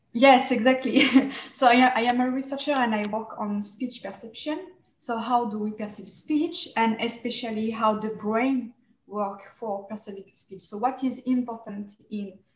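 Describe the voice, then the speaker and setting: The speaker has a strong French accent, fairly even intonation and a moderate pace, with big swings in loudness. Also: woman, fairly high pitch for a woman. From France. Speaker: researcher and senior lecturer. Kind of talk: online panel discussion. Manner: hesitant, many fillers.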